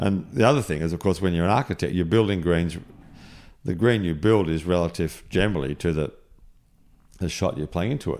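A man with an Australian accent speaks at a fairly quick pace in a very deep, low voice with ordinary pitch variation. His speech has long, frequent pauses. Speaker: golf course architect. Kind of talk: casual chat. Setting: golf club compound during tournament.

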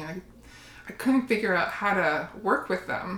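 A woman with a Canadian accent speaks at medium pitch and a moderate pace. Background noise is noticeable. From Windsor, Ontario, Canada. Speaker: shadow work practitioner. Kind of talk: casual interview.

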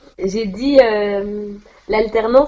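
Noticeable background noise sits behind a woman's voice. She speaks at a fairly high pitch with ordinary pitch variation. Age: 20s. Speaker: pharmacy assistant. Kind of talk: interview. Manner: hesitant, with fillers.

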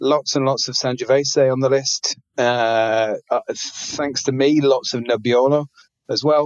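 Using a British accent, a man speaks at a medium pitch and fairly slow pace with monotone, flat intonation. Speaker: restaurateur, wine ambassador. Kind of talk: interview. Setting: online audio chat room.

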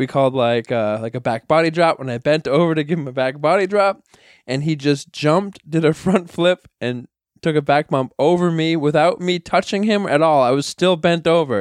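In an American accent, a man with a fairly high pitch speaks at a moderate pace with ordinary pitch variation in an ordinary speaking voice, recorded dry and close with no echo against a quiet background. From New York (Bronx). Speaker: wrestling trainer and promoter. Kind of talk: casual chat.

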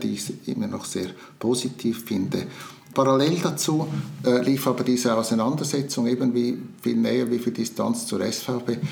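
Amid audible room echo, a man talks at a moderate pace and medium pitch with fairly even intonation. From Switzerland, Zurich region. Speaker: retired publisher and politician. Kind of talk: interview. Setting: in person. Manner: halting.

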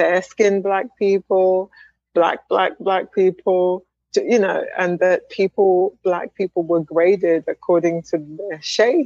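A woman speaks in a southern English accent. Her pace is fairly slow and her intonation fairly even. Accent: British English (southern England). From England, Wimbledon (London). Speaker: speech language pathologist and professor. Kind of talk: interview. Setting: video call.

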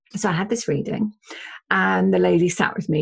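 A woman with an English accent talks at a moderate pace in a fairly low voice with vocal fry. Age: 50s. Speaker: spiritual medium and psychotherapist. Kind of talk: interview conversation.

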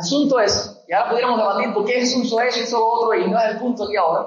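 A man speaks at an extremely high pitch. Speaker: preacher. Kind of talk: sermon. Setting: church. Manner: earnest, emphatic preaching; repetitive, pressing.

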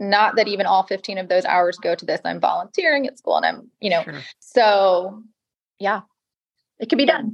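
The voice carries an American accent and vocal fry. It moves at a moderate pace with ordinary pitch variation. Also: woman, medium pitch for a woman. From US South, Georgia (Atlanta area). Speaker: house flipper. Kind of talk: interview.

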